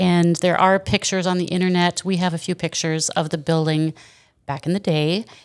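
A woman speaks at a fairly quick pace in a fairly low pitch. Her intonation is monotone and flat. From Wisconsin. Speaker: store owner. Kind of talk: casual interview. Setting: in the store.

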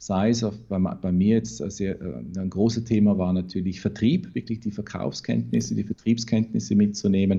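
Speaking at a moderate pace, a man uses a fairly low, dark, mellow voice with ordinary pitch variation. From Vorarlberg, Austria (Bregenzerwald). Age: 40s. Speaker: recruitment consultant and trainer. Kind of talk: interview.

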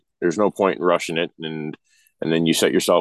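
In an Ontario accent, a man with a very deep, low pitch speaks with fairly even intonation in a dry, close sound with no echo. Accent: Canadian (Ontario). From Ontario, Canada. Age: 40s. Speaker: truck driver. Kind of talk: casual chat.

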